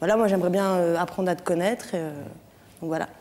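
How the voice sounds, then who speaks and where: A woman with a fairly low pitch speaks in a dark, mellow tone with fairly even intonation. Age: 20s. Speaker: theatre student; talk show guest. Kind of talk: TV show testimony. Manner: hesitant. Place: studio. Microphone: lapel.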